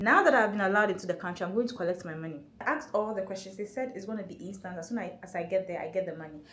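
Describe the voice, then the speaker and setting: Audible room echo comes through. The intonation moves in a lively way. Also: woman. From Ghana. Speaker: travel vlogger. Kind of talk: casual vlog talk to camera. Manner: fast; animated.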